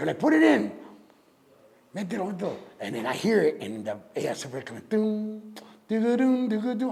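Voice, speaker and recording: Noticeable background noise sits behind a man with a high voice. He talks fairly quickly with lively intonation. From Northwest Indiana (Gary / East Chicago). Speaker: rapper and DJ. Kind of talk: interview answer. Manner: casual, mixes English and Spanish.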